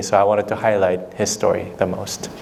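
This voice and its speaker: With a Korean accent, a man with a fairly low voice speaks at a moderate pace and fairly even intonation over noticeable background noise. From South Korea. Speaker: documentary filmmaker, former lawyer. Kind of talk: Q&A with students after screening. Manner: hesitant, many fillers.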